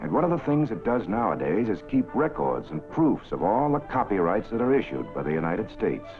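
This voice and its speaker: Clear music plays behind a man speaking at a fairly quick pace. His medium-pitched voice makes very wide pitch swings. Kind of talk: documentary newsreel narration. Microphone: old recording.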